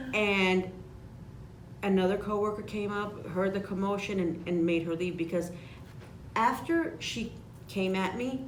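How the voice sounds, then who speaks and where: With audible room echo, a woman with an American accent speaks at a fairly slow pace and medium pitch, with ordinary pitch variation and long, frequent pauses. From Chicago. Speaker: insurance agent. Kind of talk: casual chat. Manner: animated.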